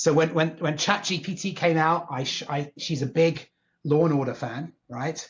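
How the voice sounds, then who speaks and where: A man with a fairly high-pitched voice talks at a moderate pace. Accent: southern England. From England, Northwest London. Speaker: tech executive. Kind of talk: podcast interview. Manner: animated.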